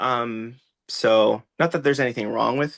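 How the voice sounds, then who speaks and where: Male speech at a moderate pace. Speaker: TikTok creator and children's author. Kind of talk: casual chat. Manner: loud; animated.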